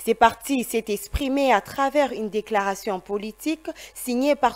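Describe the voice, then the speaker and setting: A woman with a fairly high pitch talks fairly slowly, her intonation lively. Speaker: news anchor. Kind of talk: news reading, formal studio bulletin. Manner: formal, measured, steady newsreader delivery. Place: studio.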